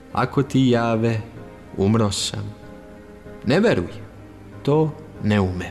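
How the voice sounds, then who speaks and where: With music playing in the background, a man speaks at a medium pitch using ordinary pitch variation. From Serbia. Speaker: voice-over artist, radio and TV presenter. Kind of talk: poetry reading.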